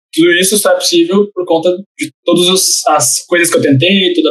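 A man talks in a high-pitched voice with fairly even intonation. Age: 20s. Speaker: entrepreneurship center coordinator. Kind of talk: casual interview.

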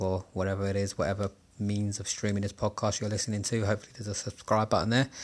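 On a very clean recording with a silent background, a man with a South London accent speaks at a fairly low pitch. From Southeast London, England. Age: 30s. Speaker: gaming podcaster. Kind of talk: solo podcast monologue. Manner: casual, with frequent fillers.

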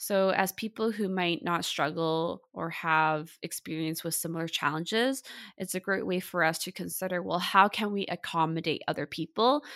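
A woman with a Canadian accent speaks in an ordinary speaking voice at a fairly low pitch with ordinary variation and a moderate pace, on a very clean recording with a silent background and a dry, close sound with no echo. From Vancouver, Canada. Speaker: mental health podcast host, therapist. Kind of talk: podcast interview.

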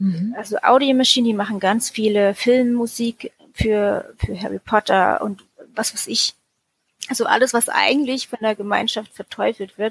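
A woman talks in a normal speaking voice at a moderate pace. Her fairly high pitch and fairly even intonation come through in a dry, close sound with no echo. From Germany. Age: 30s. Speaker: former Jehovah's Witness. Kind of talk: personal testimony interview. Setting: remote call.

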